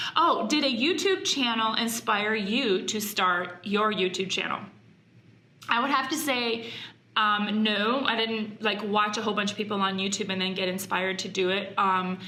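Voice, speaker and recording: A woman with a fairly high pitch speaks at a moderate pace with ordinary pitch variation. Noticeable background noise and audible room echo are present. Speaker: YouTuber, mom and former wedding planner. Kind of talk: casual vlog talk to camera. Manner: halting, many fillers.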